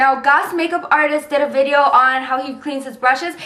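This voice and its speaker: A woman speaks in a raised, projected voice. Her pace is fairly quick. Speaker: beauty vlogger. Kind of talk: product review vlog. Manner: fast; filler-heavy, says um often.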